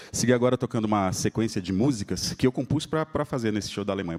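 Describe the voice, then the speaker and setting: A fairly low-pitched man at a fairly quick pace, ordinary pitch variation, in a dry, close sound with no echo. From Espírito Santo, Brazil (Vitória). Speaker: pianist. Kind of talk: live concert talk between pieces. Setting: stage with audience. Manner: casual, conversational.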